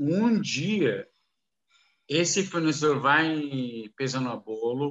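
A man with a non-native accent, speaking at a very slow pace with ordinary pitch variation. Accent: foreign accent in Portuguese, halting. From Kuwait and Saudi Arabia, Lebanese descent. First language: Arabic (speaking Portuguese). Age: 50s. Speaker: businessman in foreign trade. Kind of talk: casual interview. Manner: halting, mixing English into Portuguese.

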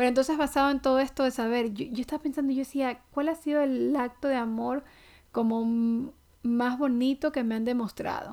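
The recording is very clean with a silent background. A woman with a high pitch and a dark, mellow tone talks at a fairly quick pace with fairly even intonation. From Ecuador. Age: 30s. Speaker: podcast host. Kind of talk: casual faith-based monologue.

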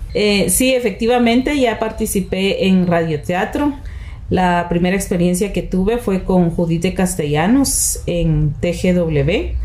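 With lively intonation and very even loudness, a woman speaks at a medium pitch and a very slow pace, over noticeable background noise and audible room echo. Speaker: radio announcer. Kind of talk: interview.

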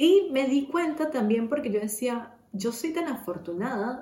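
A woman speaks with lively intonation, and audible echo fills the room. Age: 30s. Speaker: podcast host. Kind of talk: personal monologue. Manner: casual, with many fillers.

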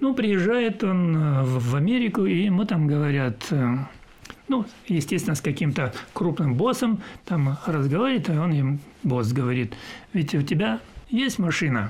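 The pace is fairly slow, with long, frequent pauses. Pitch swings very widely while the loudness stays very even. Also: man, fairly high pitch for a man. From southern Russia, Adygea (Maykop). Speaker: retired sea captain. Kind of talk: interview.

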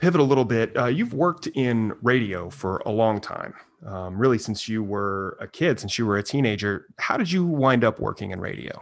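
Delivered in a normal speaking voice, the speech moves at a moderate pace with lively intonation and hardly any pauses. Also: man, medium pitch for a man. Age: 40s. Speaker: podcast host. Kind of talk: interview.

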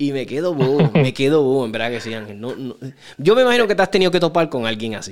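A man speaks very fast with a Puerto Rican accent, his pitch fairly high for a man. His intonation is lively and his loudness swings widely. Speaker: podcast host. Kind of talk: casual interview.

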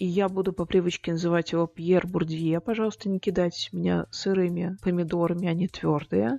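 The speaker has a dark, mellow tone, fairly even intonation and a fairly quick pace, recorded with a dry, close sound and no echo. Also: woman, fairly low pitch for a woman. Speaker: podcast host, music sociologist. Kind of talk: casual educational monologue. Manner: unscripted, awkward chatty.

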